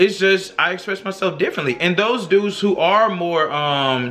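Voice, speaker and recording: A man speaks loudly in an animated tone. His intonation is lively. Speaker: YouTuber discussing social issues. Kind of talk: casual vlog monologue.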